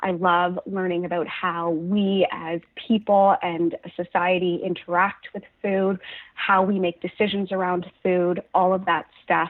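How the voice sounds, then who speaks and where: At a fairly slow pace, a woman with a Canadian accent speaks at a medium pitch in a monotone, flat intonation. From Canada, Halifax, Nova Scotia. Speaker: registered dietitian. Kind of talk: interview.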